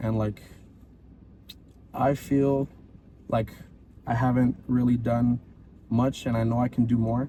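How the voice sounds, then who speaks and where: A man with a Hawaiian accent talks at a fairly slow pace with long, frequent pauses, his medium-pitched voice dark, mellow, somewhat breathy and flat in a monotone intonation. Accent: Hawaiian local English. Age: 20s. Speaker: podcast co-host. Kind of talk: casual chat.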